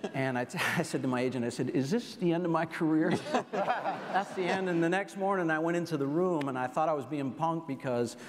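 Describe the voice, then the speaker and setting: A man's fairly high voice with hardly any pauses over noticeable background noise. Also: ordinary pitch variation, fairly quick pace. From Rhode Island. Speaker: TV executive producer. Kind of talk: panel discussion.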